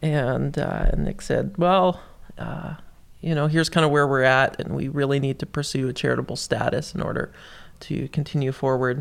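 This man has a plain, everyday voice. His pitch is fairly high, and his intonation stays fairly even. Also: moderate pace, very clean recording, silent background. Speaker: youth worker. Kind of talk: casual chat. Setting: studio.

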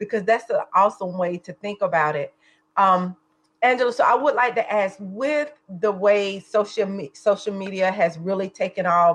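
A woman with a Southern US accent speaks at a moderate pace and medium pitch with ordinary pitch variation. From South Carolina, US South. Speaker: co-host.

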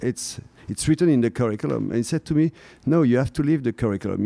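Recorded dry and close with no echo, a man with a French accent speaks in a dark, mellow tone with ordinary pitch variation. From France, Drôme. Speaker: French and drama teacher. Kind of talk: casual interview. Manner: halting, repeating words.

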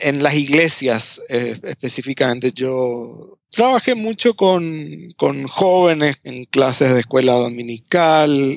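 A man speaks at a very slow pace with hardly any pauses, his pitch fairly high for a man. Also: ordinary pitch variation. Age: 40s. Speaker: former pastor. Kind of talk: interview testimony. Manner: halting, many repetitions.

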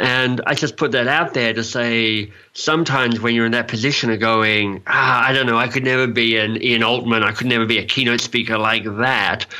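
A man talks at a fairly quick pace with hardly any pauses, at a medium pitch and with very even loudness. His intonation is monotone and flat, and there is noticeable background noise. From Australia. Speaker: coaching expert and author. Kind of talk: interview. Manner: playful, self-deprecating.

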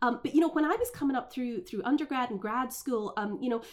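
The pitch moves with ordinary variation. Noticeable background noise runs underneath. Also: woman. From Scotland. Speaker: foreign policy scholar. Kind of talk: interview conversation. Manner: hesitant with fillers.

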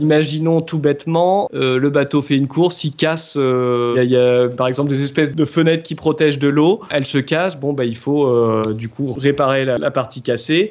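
A man speaks with ordinary pitch variation and a moderate pace while noticeable background noise runs underneath. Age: 30s. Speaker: apprentice boat preparer. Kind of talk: interview. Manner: hesitant, with fillers.

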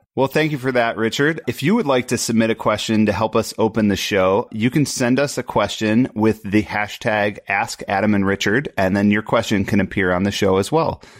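A man has a normal speaking voice with a fairly low pitch and ordinary pitch variation. He keeps a moderate pace with hardly any pauses and very even loudness. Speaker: podcast host and smart home developer. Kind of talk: casual discussion.

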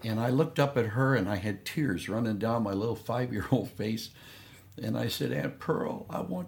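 Vocal fry runs through this man's medium-pitched voice as he talks at a moderate pace with ordinary pitch variation. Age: 70s. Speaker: missionary pastor. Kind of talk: interview testimony.

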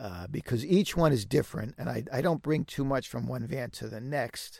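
The speaker has an American accent and vocal fry. The recording is very clean, with a silent background. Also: man. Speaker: van builder and YouTube creator. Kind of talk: interview. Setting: home sound booth in a walk-in closet.

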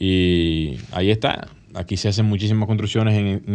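In a normal speaking voice, a man talks at a moderate pace with a fairly low pitch. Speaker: architect and radio co-host. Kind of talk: casual radio talk show. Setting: radio studio.

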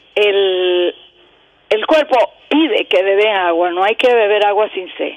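At a very slow pace, a woman with a fairly high pitch speaks over noticeable background noise. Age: 70s. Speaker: caller. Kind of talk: casual chat.

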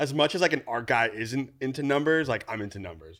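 This man has a Californian accent and speaks at a fairly quick pace with lively intonation. The recording is very clean, with a silent background. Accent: Californian American. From California Central Valley (Newman). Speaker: creative director and DIY content creator. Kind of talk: casual interview chat. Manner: animated.

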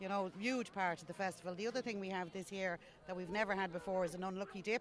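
Speaking at a very fast pace, a woman with an Irish accent keeps her intonation fairly even. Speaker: festival volunteer. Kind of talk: casual interview chat. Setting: outdoors at festival.

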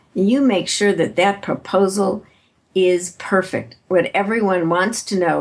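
This woman has an American accent and a normal speaking voice at medium pitch. She talks at a fairly slow pace with very even loudness and ordinary pitch variation. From US Midwest, Chicago. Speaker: author and keynote speaker. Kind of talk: interview.

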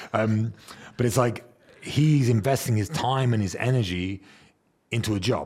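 A man speaks at a medium pitch with ordinary pitch variation and a somewhat breathy quality, recorded very cleanly against a silent background. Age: 30s. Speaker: podcast host. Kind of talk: casual chat.

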